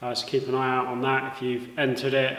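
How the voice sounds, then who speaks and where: With audible echo from the room, the man talks fairly quickly. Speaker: DIY car builder and YouTuber; YouTuber. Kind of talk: casual talk to camera while working. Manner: monotone. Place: workshop. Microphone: camera far.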